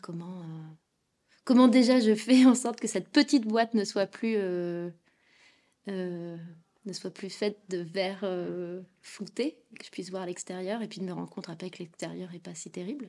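A woman with a dark, mellow tone and medium pitch speaks at a fairly slow pace with ordinary pitch variation, big swings in loudness, and long, frequent pauses, on a very clean recording with a silent background. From France. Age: 30s. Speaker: podcast guest, poet and tech worker. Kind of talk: testimony. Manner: animated.

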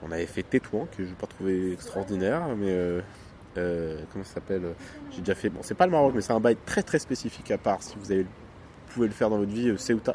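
With a normal speaking voice, a man talks at a fairly quick pace, his pitch fairly low with ordinary variation and his loudness swinging widely. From Morocco. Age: young. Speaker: podcast co-host. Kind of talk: casual chat. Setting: outdoors, hotel terrace.

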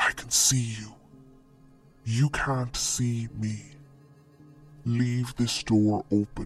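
A put-on character voice in a low-to-middle pitch at a very slow pace, with faint music in the background. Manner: menacing.

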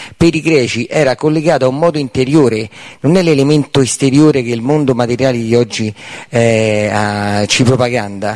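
A man's medium-pitched voice with ordinary pitch variation, in a dry, close sound with no echo. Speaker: seminar participant. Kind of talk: audience question. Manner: hard to understand.

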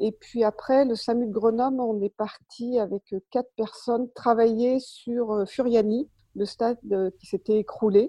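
Speaking fairly slowly in a plain, everyday voice, a woman keeps a fairly high pitch and fairly even intonation while her loudness swings widely. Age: 60s. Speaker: retired anaesthesia nurse, race medical coordinator. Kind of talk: interview.

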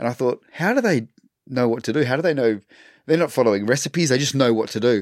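A man at a medium pitch, with ordinary pitch variation and a very fast pace. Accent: Australian. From Western Australia. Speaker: chef and restaurateur. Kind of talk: casual chat.

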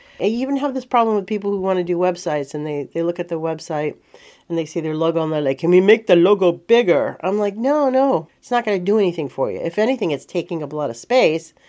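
With a dark, mellow tone and fairly low pitch, a woman races along at a very fast pace with very wide pitch swings. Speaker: marketing consultant. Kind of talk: casual video tips monologue.

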